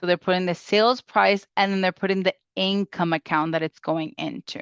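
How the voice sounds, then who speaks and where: A woman has a plain, everyday voice at a medium pitch with ordinary pitch variation. She talks at a moderate pace against a quiet background. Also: dry, close sound with no echo. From Springfield, Massachusetts (born in Puerto Rico). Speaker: bookkeeper. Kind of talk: webinar tutorial.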